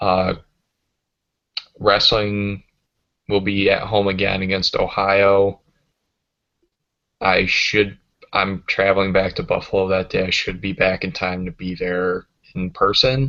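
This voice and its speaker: A man with fairly low pitch and a bright, sharp tone speaks at a fairly slow pace, taking long, frequent pauses, with fairly even intonation. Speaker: sports podcast host, university student. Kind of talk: casual chat. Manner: monotone.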